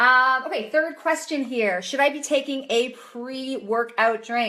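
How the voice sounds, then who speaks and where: In a raised, projected voice, a woman speaks at a fairly slow pace in a high pitch and a bright, sharp tone, with ordinary pitch variation. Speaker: chiropractor and nutrition coach. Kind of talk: live Q&A stream. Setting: livestream video.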